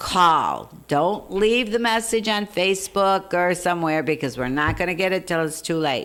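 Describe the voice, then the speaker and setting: Fairly low in pitch, a woman with an ordinary speaking voice keeps a moderate pace and ordinary pitch variation, with hardly any pauses. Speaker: wildlife rescue volunteer. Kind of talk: casual interview chat.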